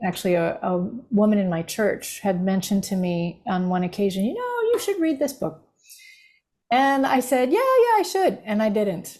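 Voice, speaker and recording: A woman with an American accent speaks at a fairly high pitch. Her voice is somewhat breathy, with lively intonation. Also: moderate pace. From United States. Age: 60s. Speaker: grief recovery specialist and former minister. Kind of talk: podcast interview.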